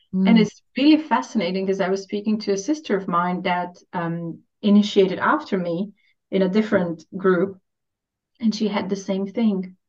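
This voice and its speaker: A woman's voice with a Romanian accent and ordinary pitch variation. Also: medium pitch for a woman, moderate pace. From Romania (Transylvania). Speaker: spiritual coach. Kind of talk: casual chat.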